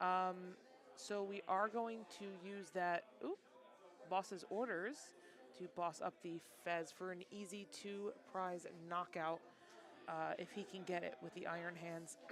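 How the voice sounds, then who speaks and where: The delivery is fairly slow, with long, frequent pauses. Intonation stays fairly even. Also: woman, medium pitch for a woman. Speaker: livestream commentator for card game matches. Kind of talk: live commentary. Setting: card shop league event, sitting behind player. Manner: loud.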